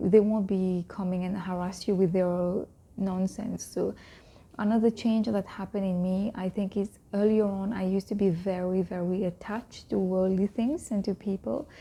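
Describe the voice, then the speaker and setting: Soft-spoken and dark, mellow in tone, a woman speaks at a moderate pace in a medium pitch with fairly even intonation. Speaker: vlogger on Islamic faith. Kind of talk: casual talk to camera.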